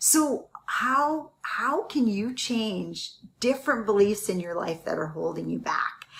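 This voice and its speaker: Over noticeable background noise, a woman with a fairly high voice speaks very slowly, her pitch rising and falling in very wide swings. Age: 60s. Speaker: real estate investing coach. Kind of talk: motivational livestream talk. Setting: live stream. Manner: casual, with frequent fillers.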